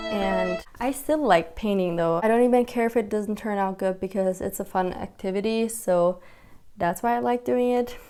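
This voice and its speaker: Over noticeable background noise, a woman with a medium pitch speaks at a moderate pace with ordinary pitch variation. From Germany, Turkish family. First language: German and Turkish. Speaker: lifestyle vlogger. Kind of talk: casual vlog chat.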